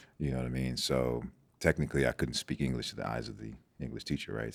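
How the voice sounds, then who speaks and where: This man speaks with a very deep, low pitch. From Nigeria, moved to US as a child. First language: Igbo. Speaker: doctor and former football prospect. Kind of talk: podcast interview. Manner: halting, many fillers and repetitions.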